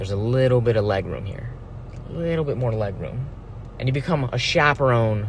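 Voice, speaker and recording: Amid noticeable background noise, a man with a medium pitch speaks at a fairly quick pace, broken by long, frequent pauses. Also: ordinary pitch variation. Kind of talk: philosophical monologue to camera. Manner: casual, rambling.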